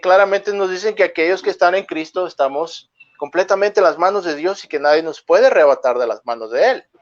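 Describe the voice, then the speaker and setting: This man has a high pitch and a fairly quick pace. He hardly pauses at all. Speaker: pastor. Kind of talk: religious discussion. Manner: fast.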